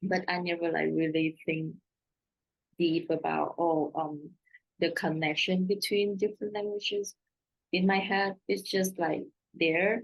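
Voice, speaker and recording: A woman with a Vietnamese accent speaks at a fairly slow pace and a fairly low pitch, with long, frequent pauses, very even loudness, and fairly even intonation. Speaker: translator. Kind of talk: panel Q&A answer. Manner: halting.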